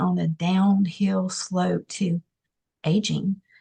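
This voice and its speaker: A woman speaks in a medium pitch with a dark, mellow tone. Her voice is somewhat breathy. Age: 60s. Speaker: nurse practitioner. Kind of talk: testimony. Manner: hesitant with many fillers.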